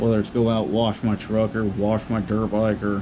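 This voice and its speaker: Over noticeable background noise, a soft-spoken man talks with an American accent. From Southern California desert. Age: 20s. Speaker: YouTuber, dirt bike rider. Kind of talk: casual vlog monologue. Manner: fidgety, high energy.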